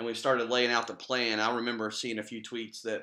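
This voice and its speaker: A man speaks fairly quickly at a medium pitch with a bright, sharp tone. His intonation is monotone and flat against a quiet background. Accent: American. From West Virginia. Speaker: internet radio co-host. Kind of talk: casual chat.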